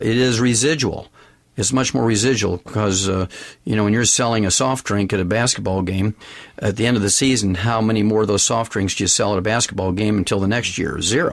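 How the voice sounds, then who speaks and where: Speaking in a plain, everyday voice, a man talks at a fairly quick pace with fairly low pitch, fairly even intonation and very even loudness. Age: 60s. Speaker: nutrition doctor and network marketing executive. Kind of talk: business interview conversation.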